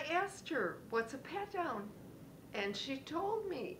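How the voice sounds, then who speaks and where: Very wide pitch swings mark this woman's very slow speech, which carries audible room echo. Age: 60s. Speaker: retiree turned entrepreneur, motivational speaker. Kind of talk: motivational talk with personal story.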